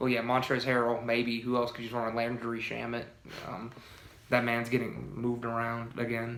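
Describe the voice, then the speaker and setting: A man's medium-pitched, monotone voice with flat intonation at a moderate pace, with audible room echo. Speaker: sports podcast co-host. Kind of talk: casual sports debate chat. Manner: halting, many repeated words.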